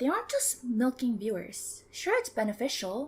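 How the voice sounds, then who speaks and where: A woman's somewhat breathy voice at a fairly high pitch. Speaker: VTuber. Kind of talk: video essay. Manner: animated.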